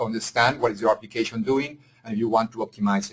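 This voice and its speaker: A man with a Spanish accent speaks with ordinary pitch variation. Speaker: engineering executive. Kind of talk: webinar presentation. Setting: webinar. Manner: halting, frequent fillers.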